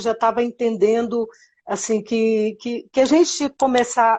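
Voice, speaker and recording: A woman's unremarkable speaking voice, fairly high in pitch and fairly slow in pace. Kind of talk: interview.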